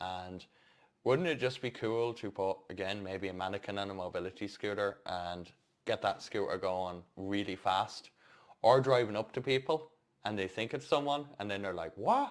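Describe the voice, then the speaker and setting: Fairly low-pitched male speech, very cleanly recorded against a silent background. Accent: Irish. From Ireland. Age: 30s. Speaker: stairlift and mobility scooter technician, vlogger. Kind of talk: casual vlog update. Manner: casual, with hesitations.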